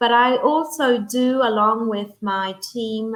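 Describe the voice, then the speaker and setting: A woman speaks with an Australian accent. Her pitch sits fairly high. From Italy. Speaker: real estate agent. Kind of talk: interview. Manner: halting.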